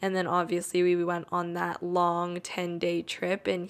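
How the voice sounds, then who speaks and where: A woman with an ordinary speaking voice and fairly low pitch talks at a moderate pace in a very clean recording with a silent background. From Canada. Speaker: podcast host. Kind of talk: casual solo monologue.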